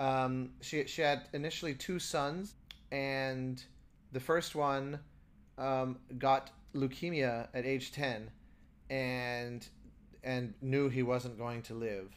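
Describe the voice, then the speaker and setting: Spoken very slowly with an American accent, the voice keeps a fairly even intonation and leaves long, frequent pauses. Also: man, medium pitch for a man. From United States. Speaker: composer and podcast co-host. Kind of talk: casual chat. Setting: remote call from a hotel room.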